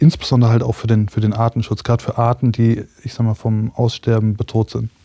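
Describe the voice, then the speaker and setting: At a medium pitch, a man speaks at a moderate pace in a dark, mellow tone. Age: 30s. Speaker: startup founder. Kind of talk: interview. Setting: studio.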